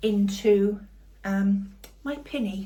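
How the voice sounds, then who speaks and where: Recorded with audible room echo, a woman speaks loudly at a medium pitch with a British accent. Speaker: cooking channel host. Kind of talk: casual cooking vlog talk to camera. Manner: soft-spoken; trying to speak loudly.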